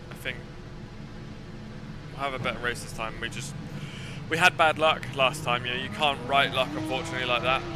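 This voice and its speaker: With music in the background, a man at a medium pitch speaks at a fairly quick pace with fairly even intonation and long, frequent pauses. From southern England, Essex. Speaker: sim racing streamer. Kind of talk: casual live stream chat.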